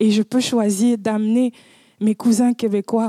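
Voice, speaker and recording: In a dry, close sound with no echo, a woman with a fairly high pitch speaks at a fairly slow pace with monotone, flat intonation. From Cameroon. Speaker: public speaker. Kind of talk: conference talk. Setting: stage with audience.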